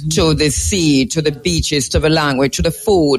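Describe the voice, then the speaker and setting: A man's fairly high voice in a Jamaican accent, with lively intonation and music in the background. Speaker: show host. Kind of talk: live interview on location.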